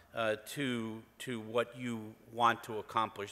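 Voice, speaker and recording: This man speaks with an American accent in a bright, sharp tone. His pace is very slow. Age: 60s. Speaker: business executive. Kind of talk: conference talk.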